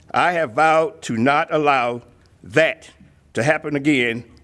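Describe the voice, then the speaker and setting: This man's voice sits fairly high in pitch. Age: 60s. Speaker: community advocate, military veteran. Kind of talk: public testimony. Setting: legislative committee hearing room. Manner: formal.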